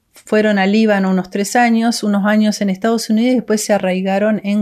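With a plain, everyday voice, a woman speaks at a fairly quick pace and a medium pitch. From Argentina, Córdoba. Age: 60s. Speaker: missionary's daughter, ministry worker. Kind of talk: interview.

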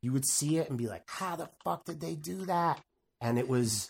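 A man's somewhat breathy voice with lively intonation on a very clean recording with a silent background. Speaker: video game developer. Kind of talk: casual chat.

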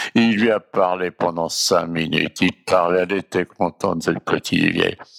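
In a dry, close sound with no echo, a man speaks at a fairly slow pace with a very deep, low pitch. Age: 80s+. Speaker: storyteller. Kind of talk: personal reminiscence. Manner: halting.

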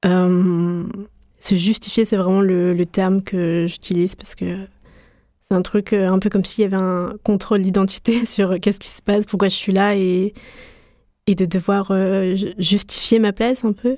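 A woman's dark, mellow voice at medium pitch, monotone and flat, fairly slow, with long, frequent pauses. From France, adopted from Guatemala as a baby. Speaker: art student. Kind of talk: personal testimony.

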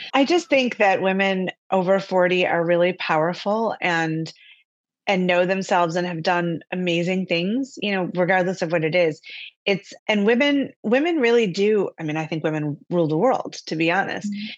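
A woman with an American accent speaks in an unremarkable speaking voice at medium pitch. Her pace is moderate, her pitch varies in an ordinary way, and the background is quiet. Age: 50s. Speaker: author. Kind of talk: interview.

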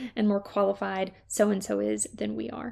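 A woman talks at a fairly quick pace with an American accent. The recording is very clean, with a silent background. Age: 20s. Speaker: leadership podcast host. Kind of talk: solo podcast monologue.

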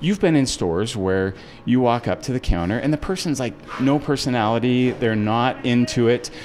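A man talks at a moderate pace and medium pitch with lively intonation. Background noise is noticeable. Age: 40s. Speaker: restaurant founder. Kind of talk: casual interview chat.

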